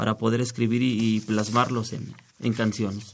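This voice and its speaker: Recorded very cleanly against a silent background, a man speaks at a moderate pace and medium pitch. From Mexico City. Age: 40s. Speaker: singer-songwriter. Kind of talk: radio interview. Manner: halting.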